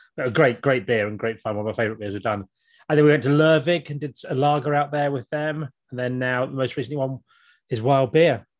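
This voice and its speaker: Against a quiet background, a man with a southern English accent talks at a very fast pace and medium pitch with ordinary pitch variation. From Kent, southern England. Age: 40s. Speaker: podcast co-host and YouTuber. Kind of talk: casual interview chat.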